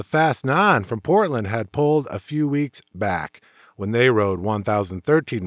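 A man's fairly low voice, an unremarkable speaking voice with an American accent, lively intonation and a moderate pace, recorded very cleanly and dry and close with no echo against a silent background. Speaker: motorcycle show host and author. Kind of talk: podcast monologue reading rider stories.

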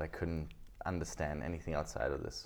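A man with an Italian accent, very deep and low in pitch, at a moderate pace. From Italy. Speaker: podcaster. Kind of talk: casual interview chat.

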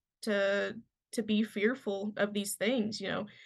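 This woman talks very slowly, and the background is quiet. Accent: Kentucky. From Western Kentucky. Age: 20s. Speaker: fly fishing guide. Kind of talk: casual chat.

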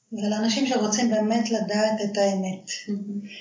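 Speaking at a fairly slow pace, a woman has a fairly high pitch and monotone, flat intonation, with audible room echo around her. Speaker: life coach. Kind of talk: interview.

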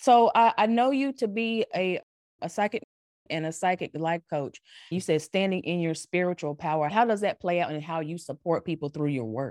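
A woman with a North Carolina accent, fairly low pitch and lively intonation, at a moderate pace, in a dry, close sound with no echo against a quiet background. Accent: North Carolina Southern. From US South, North Carolina. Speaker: podcast host and life coach. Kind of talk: scripted podcast intro and promo; casual interview conversation.

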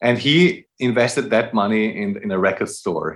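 A man with a German accent, at a moderate pace, with very wide pitch swings. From Austria. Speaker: jazz musician. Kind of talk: casual chat.

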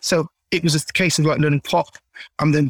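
With a South London accent, a man talks at a fairly quick pace in a fairly high, monotone voice with flat intonation, recorded with a dry, close sound and no echo. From South London, Caribbean family. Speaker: singer. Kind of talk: interview.

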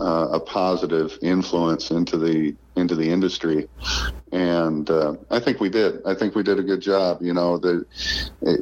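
With an American accent, a man speaks at a moderate pace in a very deep, low pitch. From central Illinois. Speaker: golf course equipment manager. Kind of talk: interview.

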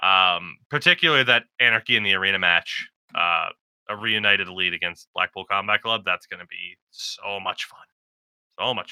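A man talks at a moderate pace with a fairly low pitch and ordinary pitch variation. His loudness swings widely, in an ordinary speaking voice. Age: 20s. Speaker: wrestling podcast co-host. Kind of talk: casual chat.

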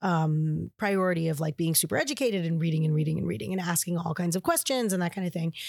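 The speech comes at a fairly quick pace with ordinary pitch variation, in a very clean recording with a silent background and a dry, close sound with no echo. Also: woman. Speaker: podcast producer and former salon client. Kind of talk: casual interview chat. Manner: animated, expressive.

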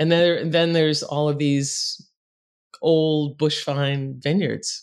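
A woman with an American accent and a very deep, low pitch, at a fairly slow pace against a quiet background. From Boston, US. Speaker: winemaker and vineyard owner. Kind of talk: casual interview chat. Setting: video call, evening for her.

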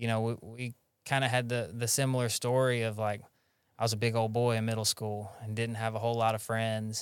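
In a Southern US accent, a man speaks at a fairly quick pace with a medium pitch and monotone, flat intonation, captured in a very clean recording with a silent background. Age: 30s. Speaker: podcast host in recovery. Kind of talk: casual interview chat.

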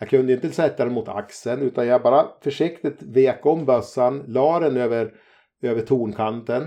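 Dark and mellow in tone, a man speaks at a medium pitch and a moderate pace with ordinary pitch variation. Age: 50s. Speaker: hunter. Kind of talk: casual chat.

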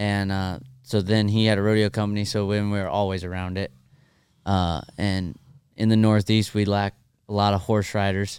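With an American accent, a man speaks at a moderate pace and fairly low pitch. His intonation stays monotone and flat. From North Carolina, later Texas area. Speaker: professional bull rider. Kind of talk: casual interview chat.

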